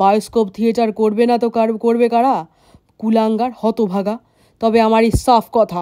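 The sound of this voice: An unforced reading voice carries the whole clip.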